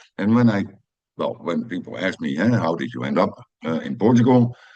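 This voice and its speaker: A man with a Dutch accent speaks at a moderate pace, his voice showing vocal fry. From Netherlands, Amsterdam. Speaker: personal growth video creator. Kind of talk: personal monologue. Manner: halting, many fillers.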